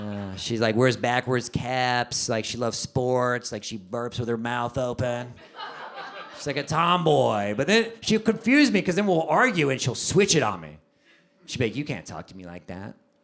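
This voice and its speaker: Lively in intonation and with big swings in loudness, a man with an American accent and a normal speaking voice talks at a moderate pace and medium pitch. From Texas. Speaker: stand-up comedian. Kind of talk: live stand-up comedy set.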